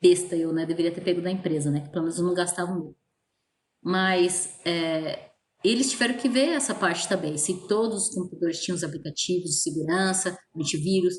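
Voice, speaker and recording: A woman talks at a fairly quick pace with a somewhat breathy voice. Her pitch is fairly low and varies in an ordinary way. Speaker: teacher. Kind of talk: online lecture. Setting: virtual class. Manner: casual.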